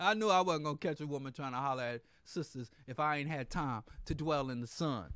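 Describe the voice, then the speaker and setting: A man's fairly high, animated voice at a fairly quick pace, lively intonation, and a very clean recording with a silent background. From US Midwest, Kansas. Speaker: radio host. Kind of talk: radio talk monologue. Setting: studio with live stream.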